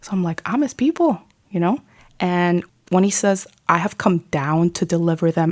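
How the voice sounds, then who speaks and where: A woman with an American accent and a normal speaking voice, fairly low-pitched and fairly quick, on a very clean recording with a silent background. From New York City. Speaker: lay missionary, ministry director. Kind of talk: faith testimony in podcast interview. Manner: casual, conversational.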